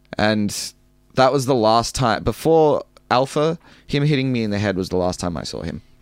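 Medium-pitched male speech in an Australian accent, lively intonation, on a very clean recording with a silent background. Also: moderate pace. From Melbourne, Australia (western suburbs). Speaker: professional wrestler. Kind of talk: casual interview.

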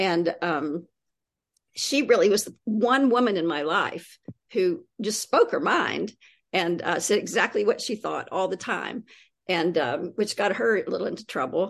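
In an ordinary speaking voice, a woman talks at a fairly slow pace. Her medium pitch carries lively intonation. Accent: American. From US South, East Tennessee. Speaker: poet and creative writing teacher. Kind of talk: interview conversation.

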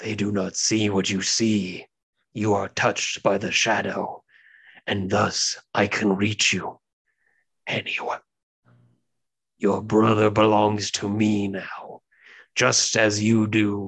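Using a put-on character voice, a man speaks raspy and fairly low, in monotone, flat intonation at a fairly slow pace with long, frequent pauses. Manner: sinister.

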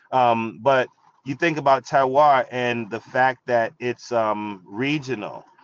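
This man has a New York accent and a medium pitch. He speaks at a very slow pace with fairly even intonation. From New York, the Bronx. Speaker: wine expert and TV presenter. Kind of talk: casual interview.

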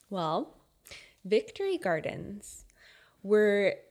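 The speaker is a woman. She has a fairly high pitch. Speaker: podcast co-host. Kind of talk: casual chat. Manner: quiet.

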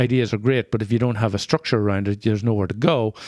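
A man with an Irish accent is heard on a very clean recording with a silent background. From rural Northern Ireland. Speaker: podcast co-host. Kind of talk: casual interview chat.

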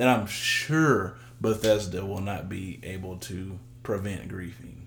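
Audible room echo mixed with noticeable background noise. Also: man. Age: 20s. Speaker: podcast co-host. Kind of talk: casual chat.

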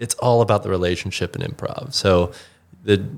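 A man's normal speaking voice with an American accent, fairly low in pitch, at a moderate pace, on a very clean recording with a silent background. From Chicago, US Midwest. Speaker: improviser and musician. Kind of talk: casual interview chat.

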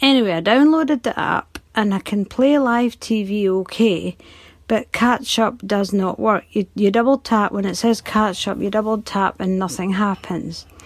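A woman with a British accent speaks at a medium pitch and moderate pace, using ordinary pitch variation. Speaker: listener. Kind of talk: voice message.

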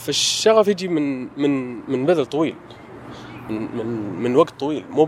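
Lively intonation from a man at a fairly slow pace, with noticeable background noise. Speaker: architect and artist. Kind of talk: casual chat. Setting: walking in a garden. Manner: conversational, hesitant with fillers.

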